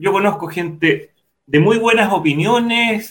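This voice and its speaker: A man's high-pitched voice with lively intonation. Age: 50s. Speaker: civil and industrial engineer, panelist. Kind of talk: casual chat. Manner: halting, many repetitions.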